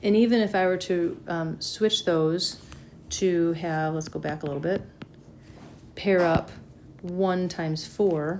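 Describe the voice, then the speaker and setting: The woman's speech shows ordinary pitch variation, with audible room echo around it. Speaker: math teacher. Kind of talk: lecture. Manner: casual.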